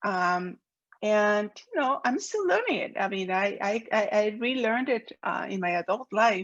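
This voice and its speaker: A woman with a Peruvian accent speaks at a moderate pace with fairly high pitch and ordinary pitch variation. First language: Spanish. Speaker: professor. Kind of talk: lecture. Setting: video call.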